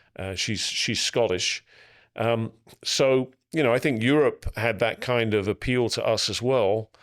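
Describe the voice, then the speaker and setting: At a fairly slow pace, a man with an English accent and a medium pitch speaks on a very clean recording with a silent background. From England. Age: 60s. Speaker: business coach and peer group facilitator. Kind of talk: podcast interview.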